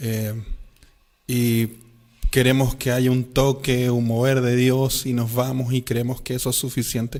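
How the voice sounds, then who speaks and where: A man's medium-pitched, monotone, flat delivery at a fairly slow pace, with long, frequent pauses. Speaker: podcast host, interviewer. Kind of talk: interview question.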